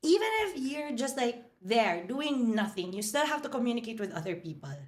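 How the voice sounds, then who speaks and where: A woman's high-pitched, animated voice with a Filipino accent, very wide pitch swings and audible room echo. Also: moderate pace. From Philippines, Manila. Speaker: hotel marketing executive. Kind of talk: podcast interview.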